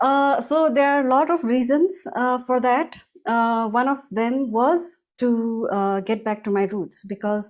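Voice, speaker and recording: A woman with a Nepali accent speaks at a high pitch and a fairly slow pace, with lively intonation and hardly any pauses, against a quiet background. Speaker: music school founder. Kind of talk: interview. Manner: halting, many fillers.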